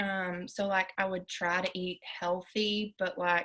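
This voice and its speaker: This woman's voice is shaky. She talks at a fairly slow pace. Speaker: weight loss program member. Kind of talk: testimony. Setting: live stream. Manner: shaky, crackling voice.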